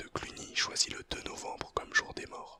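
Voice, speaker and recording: Someone whispers over noticeable background noise. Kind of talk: ASMR whispered educational talk. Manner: whispered, soft-spoken.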